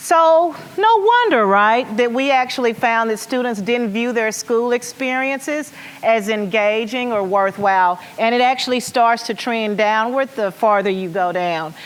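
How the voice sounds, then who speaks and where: Over noticeable background noise, a woman with an American accent speaks fairly slowly at a fairly high pitch, with ordinary pitch variation. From US South, rural Arkansas. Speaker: education nonprofit leader. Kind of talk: conference keynote. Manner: animated.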